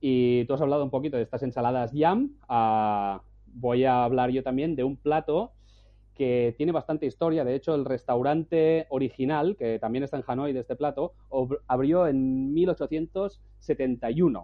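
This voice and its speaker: The speaker is a man with a plain, everyday voice at medium pitch. He goes at a fairly slow pace with ordinary pitch variation. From Spain. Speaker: travel blogger. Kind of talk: casual chat. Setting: at home.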